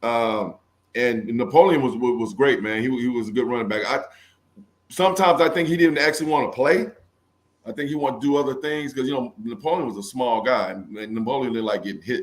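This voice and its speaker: A man speaks at a very fast pace with an American accent. His pitch is medium and his intonation lively. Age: 50s. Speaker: former football player. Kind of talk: interview.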